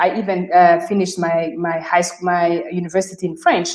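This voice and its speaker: At a moderate pace, a woman with a Rwandan accent speaks at medium pitch in a monotone, flat intonation. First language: Kinyarwanda. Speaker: career expert. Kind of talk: webinar discussion. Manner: halting.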